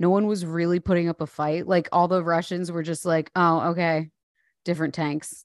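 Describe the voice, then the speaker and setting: Against a quiet background, a woman with a fairly low pitch speaks at a moderate pace, the sound dry and close with no echo. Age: 30s. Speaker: comedian podcast co-host. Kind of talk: casual comedic chat. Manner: animated.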